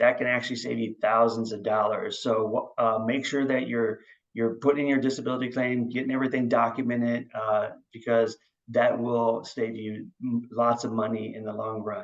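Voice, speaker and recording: A man speaks with monotone, flat intonation. His pitch sits in the middle range. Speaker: veteran and VA home loan advisor. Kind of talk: informational briefing on video call. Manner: fast; hesitant, many fillers.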